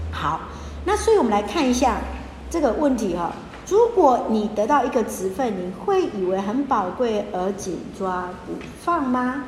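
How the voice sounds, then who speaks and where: An animated woman speaks at a fairly slow pace with a fairly high pitch and very wide pitch swings. The room echo is audible, and background noise is noticeable. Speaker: pastor. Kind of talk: Bible study teaching. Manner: animated, mixing Hokkien and Mandarin.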